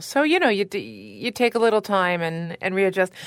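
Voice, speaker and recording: A woman with a normal speaking voice, at a moderate pace, with an American accent. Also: very clean recording, silent background. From Chicago. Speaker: opera singer. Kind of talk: casual interview.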